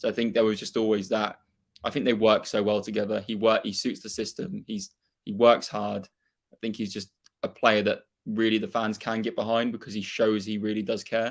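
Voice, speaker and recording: A man with a Norfolk accent talks at a fairly quick pace in a fairly low, monotone and flat delivery, recorded very cleanly with a silent background. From England, Norfolk. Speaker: football fan and YouTuber. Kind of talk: casual chat.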